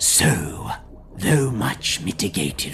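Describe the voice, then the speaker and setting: A man whispers in a put-on character voice at a very slow pace. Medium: read story. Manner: lofty, didactic, scornful.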